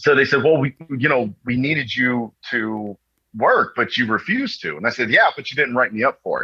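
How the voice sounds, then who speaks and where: Here a man talks in an animated tone at a very fast pace. His pitch sits in the medium range. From Texas and New York. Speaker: Marine veteran. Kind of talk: casual storytelling interview.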